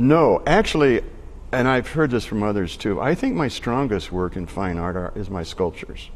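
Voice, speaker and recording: A man talks at a moderate pace in a medium pitch. His pitch swings very widely. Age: 60s. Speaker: artist. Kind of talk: interview. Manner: halting.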